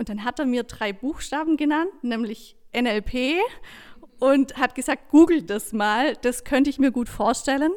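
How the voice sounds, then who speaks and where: A woman speaks at a fairly slow pace in a high voice with ordinary pitch variation, on a very clean recording with a silent background. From southern Germany. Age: 30s. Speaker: coach and trainer. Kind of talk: interview.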